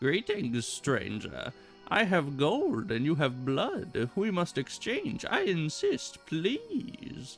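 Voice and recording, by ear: A man puts on a character voice at a high pitch and a very slow pace. Clear music plays in the background.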